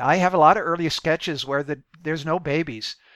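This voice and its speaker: A man with an American accent talks at a moderate pace and fairly high pitch in a bright, sharp tone. The recording is very clean, with a silent background. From US Midwest. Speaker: video game developer. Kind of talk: interview. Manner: halting.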